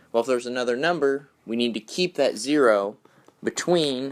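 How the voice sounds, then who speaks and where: Ordinary pitch variation in a man's medium-pitched voice. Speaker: teacher. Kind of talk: tutorial.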